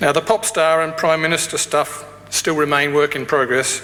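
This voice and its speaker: A man with an Australian accent and a fairly high pitch, against noticeable background noise. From Australia, Tasmania. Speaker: graduation speaker, academic. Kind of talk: ceremonial speech. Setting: graduation ceremony hall with audience.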